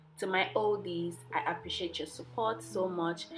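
With music in the background, a woman speaks at a fairly slow pace and a fairly low pitch. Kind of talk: tutorial.

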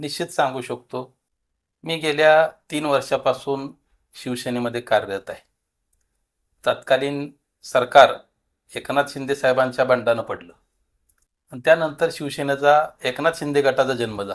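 A man with a normal speaking voice talks at a fairly high pitch, with fairly even intonation and big swings in loudness. The recording is very clean, with a silent background. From Maharashtra, Solapur district (Natepute). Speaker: local politician and social worker. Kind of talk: interview. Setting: party office.

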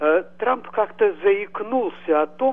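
A man is speaking. His pace is very slow. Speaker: caller. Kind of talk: radio talk show discussion. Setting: phone call. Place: home room. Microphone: video call.

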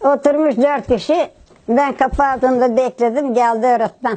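At a moderate pace, a woman speaks with a high pitch and a dark, mellow tone. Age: 80s+. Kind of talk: interview answer.

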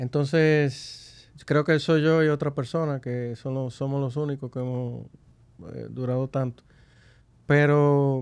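A man's fairly high-pitched voice at a fairly slow pace over a quiet background. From Dominican Republic, Santo Domingo; Dominican Republic. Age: 50s. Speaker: business executive; guest. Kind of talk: interview. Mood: calm, reflective. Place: studio. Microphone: studio mic.

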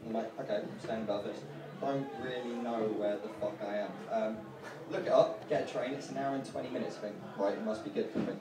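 A man talks at a fairly quick pace, with audible room echo and noticeable background noise around him. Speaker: stand-up comedian. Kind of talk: stand-up comedy. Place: bar.

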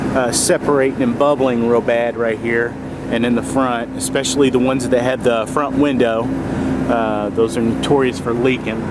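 Loud background noise surrounds a voice speaking at a moderate pace in a dry sound with no echo. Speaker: RV sales inspector. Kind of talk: tutorial walk-through commentary. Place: street. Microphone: phone near.

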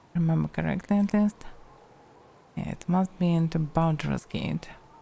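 A dark, mellow tone with a Russian accent. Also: woman. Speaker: vtuber, game streamer. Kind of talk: casual gameplay commentary.

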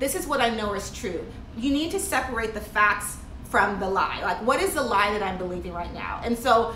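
Light background noise and audible room echo surround a woman talking at a fairly quick pace. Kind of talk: motivational vlog talk. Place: home room. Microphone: phone near.

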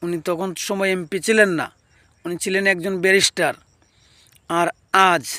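A man projects a raised voice at a high pitch, bright and sharp in tone, with fairly even intonation. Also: dry, close sound with no echo. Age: 30s. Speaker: YouTube commentator. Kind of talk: vlog commentary.

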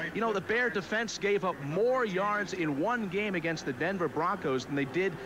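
A man speaks at a moderate pace with lively intonation. Noticeable background noise is present, and the sound is dry with no echo. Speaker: TV sports reporter. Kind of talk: broadcast commentary. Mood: jokey, upbeat. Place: stadium. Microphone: handheld.

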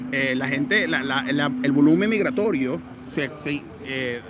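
A man's fairly high voice with lively intonation at a fairly slow pace, dry with no echo, over loud background noise. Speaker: activist. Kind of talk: interview answer at rally. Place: street. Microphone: handheld.

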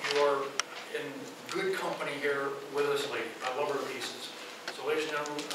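A man talks at a fairly quick pace over loud background noise, with audible room echo. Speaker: event host introducing the speaker. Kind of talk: speaker introduction. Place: hall. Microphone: camera far.

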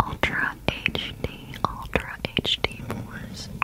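A soft-spoken woman is whispering. Her pace is very slow. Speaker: ASMR creator. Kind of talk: soft ASMR whisper talk. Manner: soft close ASMR whisper. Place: home room. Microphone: studio mic.

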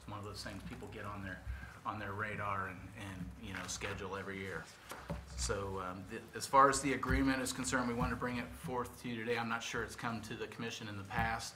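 Noticeable background noise sits behind this recording. A man talks very fast in a fairly low voice. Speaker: city parks official. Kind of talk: staff report to commission. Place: meeting room. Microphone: podium.

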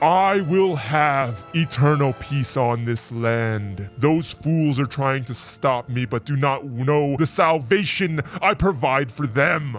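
With clear music in the background, a man speaks at medium pitch and a fairly slow pace in a menacing tone. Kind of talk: villain monologue. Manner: menacing, grandiose.

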